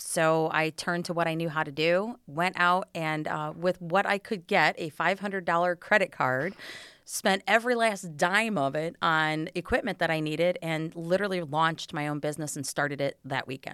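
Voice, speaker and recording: The voice has a bright, sharp tone. There are hardly any pauses. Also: woman, fairly low pitch for a woman, ordinary pitch variation, moderate pace, very clean recording, silent background. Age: 50s. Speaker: small business owner. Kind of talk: interview. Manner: animated.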